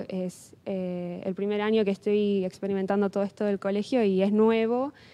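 Speaking with a Rioplatense accent, a woman has a dark, mellow tone at a medium pitch, with fairly even intonation. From Argentina. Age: 20s. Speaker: English teacher and student; interviewee. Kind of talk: testimony. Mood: calm, earnest, reflective. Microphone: handheld.

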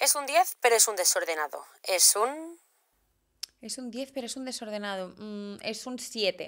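The voice comes at a fairly slow pace with lively intonation. Loudness swings widely against a quiet background. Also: woman, fairly high pitch for a woman. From Barcelona, Spain; Spain. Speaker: fashion content creator and stylist; fashion content creator. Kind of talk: casual interview chat. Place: studio. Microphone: studio mic.

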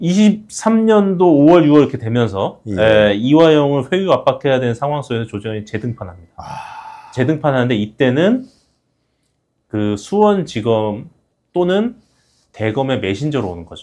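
A man talks at a fairly slow pace in a fairly high voice. His pitch swings very widely against a quiet background. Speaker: defense lawyer. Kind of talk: interview. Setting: studio. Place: studio. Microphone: lapel.

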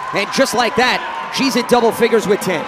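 A man speaks at a moderate pace with an extremely high pitch. The sound is dry with no echo, over noticeable background noise. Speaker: basketball play-by-play commentator. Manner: fluent, crisp and descriptive, with a broadcast polish. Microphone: headset.

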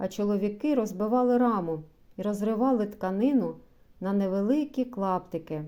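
A natural reading voice moves through ordinary changes in pitch.

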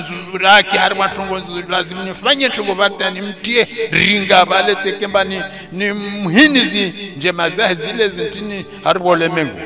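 With a Comorian accent, a man raises and projects his high voice at a moderate pace over noticeable background noise. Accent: Comorian (Shinzwani). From Comoros, Anjouan (Domoni). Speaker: storyteller. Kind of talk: oral storytelling.

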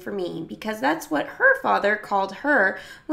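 The clip features reading aloud in a natural voice.

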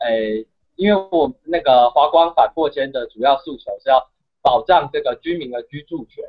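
Someone with a Taiwanese accent speaks at a moderate pace with ordinary pitch variation and big swings in loudness. The background is quiet. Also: man, fairly high pitch for a man. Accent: Taiwanese Mandarin. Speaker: university student and activist; guest. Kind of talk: interview. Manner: halting, many fillers.

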